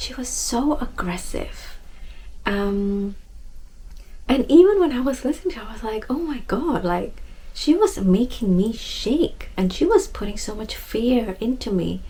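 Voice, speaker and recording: A soft-spoken woman at a fairly slow pace. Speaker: self-love and wellness speaker. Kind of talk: casual heart-to-heart talk to camera.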